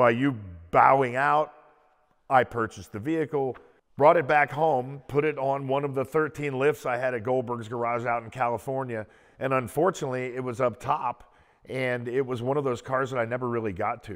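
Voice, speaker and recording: A man holds a moderate pace and fairly even intonation. Around him the background stays quiet. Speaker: car collector host. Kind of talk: interview-style storytelling. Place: garage. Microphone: lapel.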